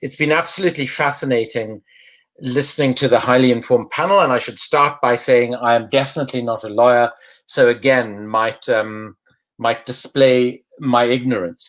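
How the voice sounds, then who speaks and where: A man speaks with a South African accent at a moderate pace. His pitch is medium, with ordinary pitch variation. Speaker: anti-corruption campaigner, former politician. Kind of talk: online panel discussion.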